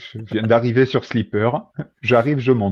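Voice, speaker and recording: A man at medium pitch with a southwestern French accent. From southwest France, Agen. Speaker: podcast guest, fantasy football player. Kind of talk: casual chat.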